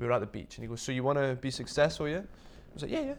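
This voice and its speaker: Talking at a very fast pace in a Scottish accent, a man swings his pitch very widely. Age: 20s. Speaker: luxury accessory designer and former golfer. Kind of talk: casual interview. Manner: animated.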